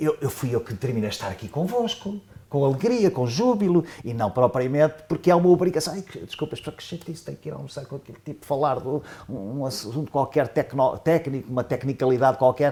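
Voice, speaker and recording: Speaking at a fairly quick pace, a man has a dark, mellow tone at a fairly high pitch, somewhat breathy. His intonation is lively, with big swings in loudness. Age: 70s. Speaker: professor, economist. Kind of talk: panel discussion. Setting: round table with audience. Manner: halting, many fillers.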